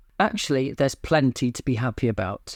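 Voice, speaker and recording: A speaker with a British accent is captured in a very clean recording against a silent background. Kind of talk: personal talk to camera.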